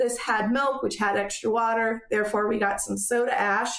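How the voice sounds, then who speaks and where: Audible room echo is present in this clip. The speaker is a woman. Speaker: soap-making channel host. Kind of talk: tutorial. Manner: casual, filler-heavy.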